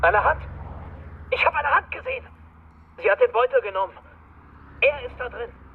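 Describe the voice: A man puts on a character voice at an extremely high pitch, with big pitch swings, a slightly husky edge and a moderate pace.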